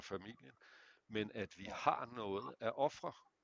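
A man talks very slowly, his pitch fairly low. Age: 50s. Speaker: men's therapist. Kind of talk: casual chat.

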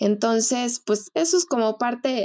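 This is a woman speaking. Her pace is very slow. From Mexico City. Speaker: wedding planner. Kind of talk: casual chat.

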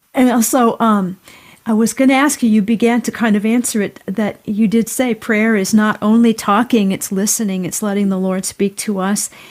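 A woman's fairly high voice at a moderate pace, an unremarkable speaking voice with fairly even intonation. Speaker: podcast interviewer. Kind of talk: interview.

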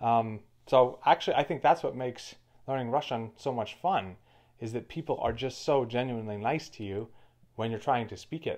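In a quiet background, a man with an unremarkable speaking voice talks at a fairly quick pace, medium in pitch with ordinary pitch variation. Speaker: podcast host. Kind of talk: casual conversation.

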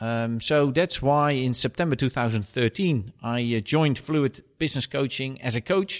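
A man with a Dutch accent speaks at a medium pitch. The recording is very clean with a silent background, and the sound is dry and close with no echo. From Netherlands. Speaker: business coach. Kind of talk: casual interview.

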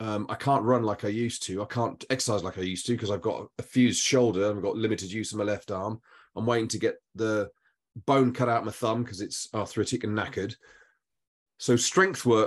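A man's fairly quick speech in a plain, everyday voice, medium in pitch with ordinary pitch variation, against a quiet background. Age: 50s. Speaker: podcast host. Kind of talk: casual chat.

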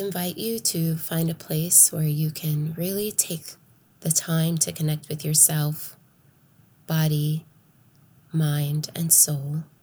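A woman speaks very slowly in a very deep, low pitch, somewhat breathy, with a dark, mellow, soothing, calm tone. Her intonation is monotone and flat, with long, frequent pauses. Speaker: podcast host and meditation guide. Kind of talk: guided meditation. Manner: slow, soft, soothing, calm and nurturing.

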